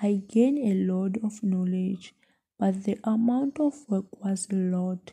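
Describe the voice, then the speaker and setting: Somewhat breathy and dark, mellow in tone, a woman speaks very slowly at a medium pitch with ordinary pitch variation. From South Africa, Mpumalanga. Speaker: student teacher. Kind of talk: student podcast reflection.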